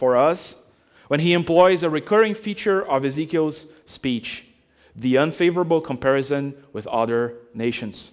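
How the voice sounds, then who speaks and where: Speaking with a non-native accent, a man talks at a moderate pace, his fairly high pitch showing ordinary variation. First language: not English. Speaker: preacher. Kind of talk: sermon. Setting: church.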